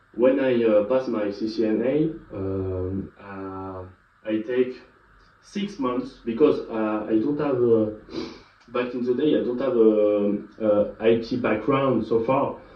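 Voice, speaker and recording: A man with a French accent speaks very slowly at a medium pitch, with ordinary pitch variation. Room echo is audible, and there is noticeable background noise. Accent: French accent, non-native English. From France. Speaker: IT educator / YouTuber. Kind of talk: tutorial. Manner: halting, many filler sounds.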